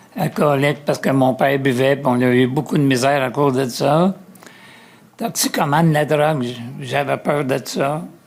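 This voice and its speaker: The pace is moderate, with ordinary pitch variation. Noticeable background noise can be heard. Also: man, fairly high pitch for a man. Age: 80s+. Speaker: person with lived experience of homelessness. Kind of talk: testimony.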